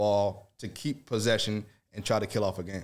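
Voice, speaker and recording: A man with an American accent and a normal speaking voice talks at a fairly quick pace, fairly low in pitch with fairly even intonation, on a very clean recording with a silent background. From Chicago area (Evanston), US Midwest. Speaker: former pro soccer player, radio color commentator. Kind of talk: casual sports chat.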